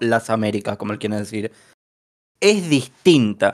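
An unremarkable speaking voice with lively intonation on a very clean recording with a silent background. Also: man. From Bahía Blanca, Argentina. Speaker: podcast host. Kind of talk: casual podcast discussion.

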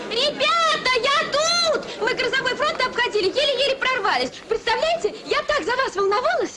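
A woman uses a put-on character voice at an extremely high pitch, bright and sharp in tone with lively intonation, at a moderate pace. Faint background noise and faint crowd noise sit behind her.

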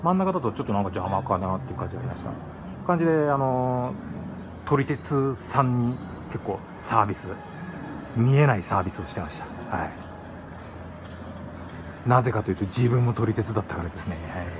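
Over noticeable background noise, a man talks at a fairly quick pace with lively intonation, big swings in loudness, and long, frequent pauses. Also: medium pitch for a man. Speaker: former freight train driver. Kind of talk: casual talk to camera. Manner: fast. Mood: nostalgic, enthusiastic. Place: hall. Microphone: phone near.

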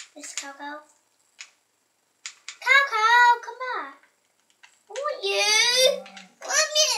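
A woman's squeaky put-on character voice, extremely high in pitch with very wide pitch swings, very slow, with long, frequent pauses. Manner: fussy.

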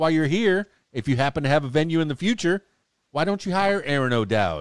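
Over a quiet background, a man with an American accent speaks with lively intonation, the sound dry and free of echo. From South Florida. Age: 50s. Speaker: podcast host and DJ. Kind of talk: casual interview. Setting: studio. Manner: animated. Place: studio. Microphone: studio mic.

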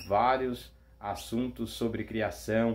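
A man speaks at medium pitch. His intonation is flat and monotone. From Brazil. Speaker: canary breeder; channel host. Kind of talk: promotional announcement. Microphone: phone near.

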